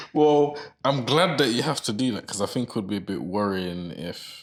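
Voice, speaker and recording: A man's fairly low voice with vocal fry, very wide pitch swings and a moderate pace. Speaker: podcast co-host. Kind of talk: casual chat. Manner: sleepy-sounding.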